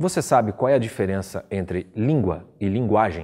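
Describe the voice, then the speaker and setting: In a Curitiba accent, a man with a dark, mellow tone and medium pitch speaks with lively intonation on a very clean recording with a silent background. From Brazil, Curitiba (Paraná). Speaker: teacher. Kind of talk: lecture.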